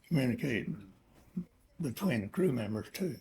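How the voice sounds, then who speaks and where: The pitch swings very widely. Background noise is noticeable. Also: man. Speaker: WWII veteran pilot. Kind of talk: interview answer. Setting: home recording, background noise.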